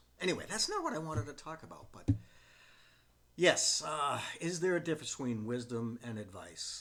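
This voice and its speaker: A man is speaking. His pace is fairly quick. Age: 60s. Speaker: retirement vlogger, former professional adviser. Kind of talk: casual talk to camera. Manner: relaxed, with frequent fillers.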